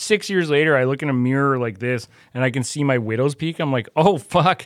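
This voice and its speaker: Fairly quick and with ordinary pitch variation, a man with an unremarkable speaking voice at a medium pitch comes through in a very clean recording with a silent background. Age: 40s. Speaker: comedian and writer. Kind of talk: casual chat.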